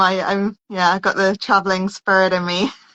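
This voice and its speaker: Her tone is bright and sharp, at medium pitch for a woman. She speaks at a moderate pace with a dry, close sound and no echo. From London, England (Cockney). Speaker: holistic healer. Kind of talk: casual interview chat. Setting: Instagram live video call.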